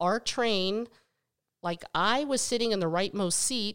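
In a normal speaking voice, a woman with an American accent talks at a fairly slow pace with lively intonation. The recording is very clean, with a silent background. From western Pennsylvania, US. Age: 50s. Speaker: podcast co-host, mother of the other co-host. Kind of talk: casual chat.

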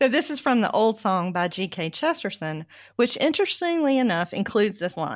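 Very wide pitch swings mark this woman's fairly high voice as she talks at a fairly quick pace. The recording is very clean, with a silent background. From US South. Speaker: podcast host, researcher. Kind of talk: casual book discussion.

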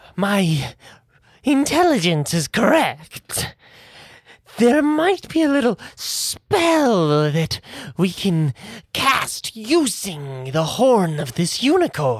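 The voice is a put-on character at middle pitch with very wide pitch swings. It moves at a very slow pace. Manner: cheerful, conspiratorial.

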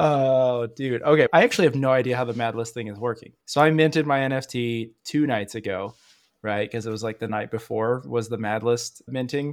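In a very clean recording with a silent background, a man uses a plain, everyday voice at medium pitch and a fairly quick pace. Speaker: podcast host. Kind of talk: casual chat.

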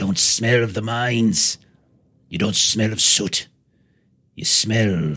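At a fairly slow pace, a man performs a put-on character voice. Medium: actual play. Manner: scornful, angry, rough.

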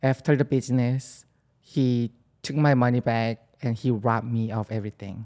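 In a very clean recording with a silent background, a woman with a Korean accent speaks in a dark, mellow tone with ordinary pitch variation. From South Korea. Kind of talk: casual chat.

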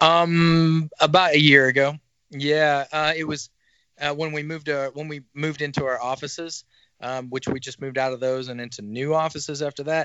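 With a Southern US accent, a man speaks at a moderate pace in a fairly high, monotone, flat voice, his loudness swinging widely. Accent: US South. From northwest Arkansas. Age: 30s. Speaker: merch business owner, former rock musician. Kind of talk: casual chat. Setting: at home.

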